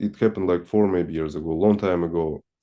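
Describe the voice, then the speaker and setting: With a Russian accent, a man speaks in a very deep, low voice with fairly even intonation. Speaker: satsang participant. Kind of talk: personal testimony in spiritual Q&A. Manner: halting, many restarts.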